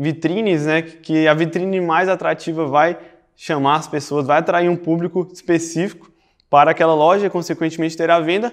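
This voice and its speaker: The man's voice sits high in pitch, with ordinary pitch variation. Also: quiet background. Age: 20s. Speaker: digital marketing instructor. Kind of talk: online course lecture. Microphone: lapel.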